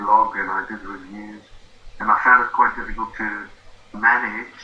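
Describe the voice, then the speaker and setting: A man with a South African accent speaks at a moderate pace against noticeable background noise. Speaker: former engineer, affiliate marketing student. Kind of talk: interview.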